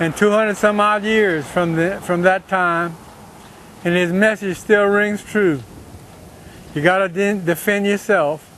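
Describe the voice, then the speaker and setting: Speaking in a Cajun accent, a man with a high pitch keeps a fairly even intonation at a fairly slow pace, leaving long, frequent pauses. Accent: Cajun Louisiana English. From Louisiana, Breaux Bridge (Cajun country). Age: 60s. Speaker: political activist. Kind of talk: monologue to camera.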